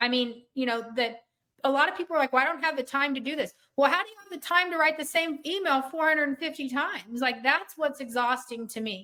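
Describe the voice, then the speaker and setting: A woman uses a raised, projected voice at a high pitch and a fairly quick pace, with ordinary pitch variation. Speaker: software trainer. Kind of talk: webinar training session. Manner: fast.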